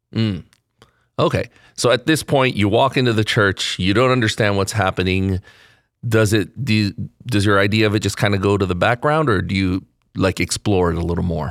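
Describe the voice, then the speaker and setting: A man talks at a fairly quick pace in a normal speaking voice, fairly low in pitch with ordinary pitch variation. His loudness stays very even on a very clean recording with a silent background. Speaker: podcast interviewer. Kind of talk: interview. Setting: church parish.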